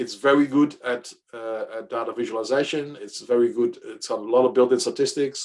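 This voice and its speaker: Here a man speaks with a Dutch accent. His pace is fairly quick. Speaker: data science workshop leader. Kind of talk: workshop tutorial. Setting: workshop with live audience. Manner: halting, with fillers and repeats.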